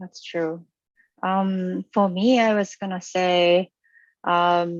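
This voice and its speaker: Speaking at a very slow pace with a non-native accent, a woman uses a medium pitch and fairly even intonation in a dry, close sound with no echo and a quiet background. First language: not English. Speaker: video game artist. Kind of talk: live panel discussion.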